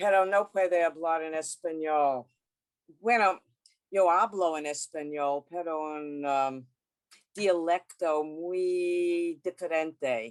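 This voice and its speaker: Someone with a Brooklyn accent speaks at a very slow pace with ordinary pitch variation, in a dry, close sound with no echo. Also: woman, fairly low pitch for a woman. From US, Brooklyn New York. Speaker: sociologist. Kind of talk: lecture. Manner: halting in Spanish.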